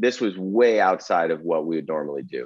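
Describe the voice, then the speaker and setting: At a moderate pace, a man speaks in a plain, everyday voice pitched fairly low. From Arizona. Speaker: angel investor. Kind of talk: interview.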